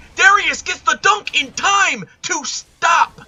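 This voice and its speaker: A man with an extremely high pitch speaks at a very slow pace over noticeable background noise. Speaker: esports caster. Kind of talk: live commentary. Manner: animated.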